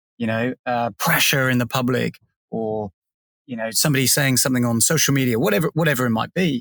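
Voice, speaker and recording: A man with an English accent and a medium pitch speaks with ordinary pitch variation, the sound dry and close with no echo. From England. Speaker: podcast co-host. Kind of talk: casual chat.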